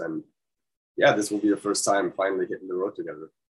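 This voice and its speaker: A man speaks with a German accent. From Germany. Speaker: death metal musician. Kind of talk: casual interview. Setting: video call.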